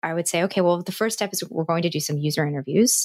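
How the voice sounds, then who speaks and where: A woman's normal speaking voice, fairly low in pitch with an American accent and ordinary pitch variation, in a dry, close sound with no echo on a very clean recording with a silent background. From US Northeast, New Jersey. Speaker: user onboarding consultant. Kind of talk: casual interview.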